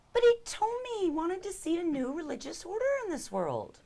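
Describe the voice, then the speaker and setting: A put-on, squeaky character voice, female-sounding and extremely high-pitched, at a fairly quick pace. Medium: actual play. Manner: icy, defiant.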